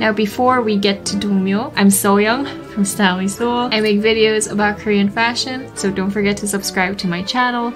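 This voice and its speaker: A woman speaks at a moderate pace with hardly any pauses and fairly even intonation. Clear music plays in the background. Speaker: fashion vlogger. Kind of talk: casual vlog chat. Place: home room. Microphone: phone near.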